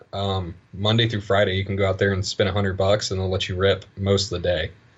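A man speaks at a fairly quick pace in a low voice. His pitch barely moves.

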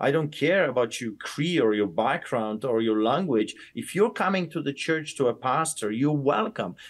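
Speaking with an Eastern European accent, a man keeps a moderate pace with hardly any pauses and very wide pitch swings. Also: fairly high pitch for a man. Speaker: pastor. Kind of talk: interview, heated and passionate.

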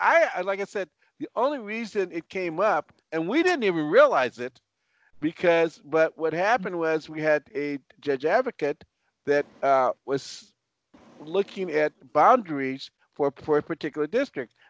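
Speaking with an American accent, a man has a high pitch and lively intonation at a moderate pace. The sound is dry and close with no echo, over a quiet background. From Los Angeles, US West Coast. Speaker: military veteran and former police officer. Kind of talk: panel discussion.

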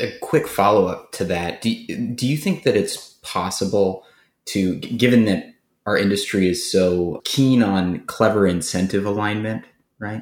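This man has a normal speaking voice, fairly low in pitch with ordinary pitch variation. He talks at a fairly slow pace on a very clean recording with a silent background. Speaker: co-host. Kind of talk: casual interview chat.

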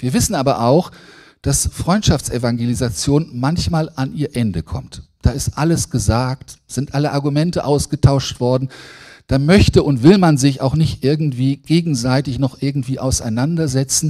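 A man with a fairly high voice and a dark, mellow tone speaks at a moderate pace with ordinary pitch variation on a very clean recording with a silent background. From Lower Saxony, Germany (Braunschweig). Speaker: preacher, theology lecturer. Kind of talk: sermon. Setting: church service.

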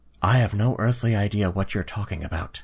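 Using a put-on character voice, a man with a fairly low pitch talks at a fairly quick pace. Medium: actual play. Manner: plainspoken, stubborn.

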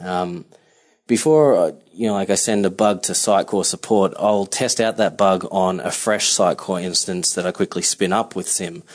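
Speaking at a moderate pace, a man with an Australian accent has a fairly low voice. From Melbourne, Australia. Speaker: software solutions architect. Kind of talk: recorded voice memo.

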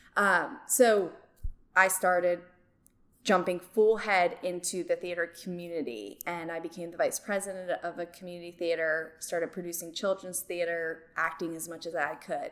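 A woman with an unremarkable speaking voice and an American accent talks at a moderate pace and a fairly low pitch, with fairly even intonation and big swings in loudness. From New Jersey. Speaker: drama teacher and yoga instructor. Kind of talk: interview.

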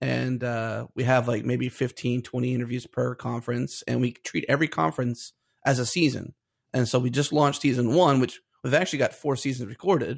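A man with vocal fry, at a fairly quick pace, with ordinary pitch variation. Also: medium pitch for a man. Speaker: podcaster and video interviewer. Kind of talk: casual interview chat.

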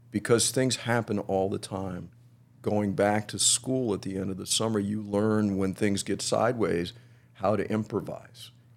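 This man has an unremarkable speaking voice with an American accent. He talks fairly slowly at a fairly low pitch. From Miami, Florida. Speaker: music historian, author and teacher. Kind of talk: casual interview chat.

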